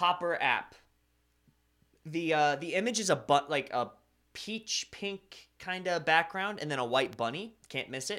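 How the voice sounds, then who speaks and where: A high-pitched man with an American accent and a bright, sharp tone, at a fairly slow pace, on a very clean recording with a silent background. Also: lively intonation. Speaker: anime live streamer. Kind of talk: casual live stream chat reading viewer comments. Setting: home streaming room with sound foam. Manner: casual, conversational with fillers.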